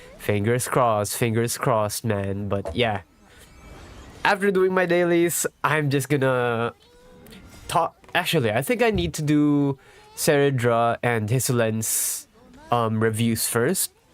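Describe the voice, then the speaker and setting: Over music in the background, the speaker talks at a fairly slow pace with lively intonation and long, frequent pauses. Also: man, medium pitch for a man. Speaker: gaming streamer. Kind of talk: casual live-stream chat. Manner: casual, halting with repeats.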